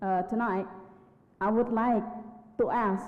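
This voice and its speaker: A woman speaks very slowly at a fairly high pitch with fairly even intonation. The room echo is audible. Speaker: conference participant. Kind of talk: audience question at plenary. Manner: halting, many fillers.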